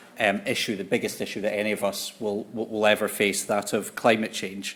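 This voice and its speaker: A man talks at a moderate pace with a Scottish accent. His pitch sits in the medium range. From Scotland. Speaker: conference speaker on politics. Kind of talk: conference talk. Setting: conference hall with audience and interpreters.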